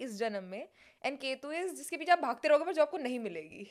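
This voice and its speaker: Her voice is high for a woman. She talks at a moderate pace. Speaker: comedian and content creator. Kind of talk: casual chat. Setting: studio.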